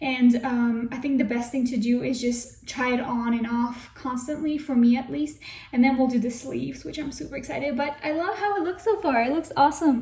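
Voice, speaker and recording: Hardly pausing, a woman talks at a fairly quick pace and high pitch with ordinary pitch variation, amid noticeable background noise. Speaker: crochet content creator. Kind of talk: casual tutorial vlog. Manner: animated; fast.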